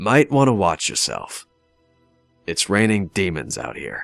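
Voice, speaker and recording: A fairly slow, put-on character voice over faint background music. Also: man, fairly low pitch for a man. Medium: solo performance. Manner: sardonic, drawling.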